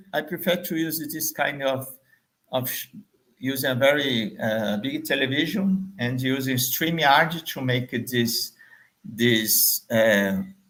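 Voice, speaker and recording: In a Portuguese accent, a man talks very slowly at a fairly high pitch with lively intonation. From Brazil, Salvador, Bahia. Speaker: marketing trainer. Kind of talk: business pitch video. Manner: halting, many fillers.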